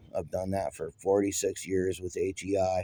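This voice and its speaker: A man speaks at a moderate pace with a dark, mellow tone, recorded in a dry, close sound with no echo. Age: 60s. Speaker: mechanic. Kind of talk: tutorial. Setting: shop building. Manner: casual.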